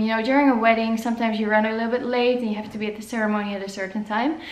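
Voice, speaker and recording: Noticeable background noise and audible room echo surround a woman speaking at a fairly high pitch in a Dutch accent. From Netherlands. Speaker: photographer. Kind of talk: vlog talk to camera. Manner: casual, filler-heavy.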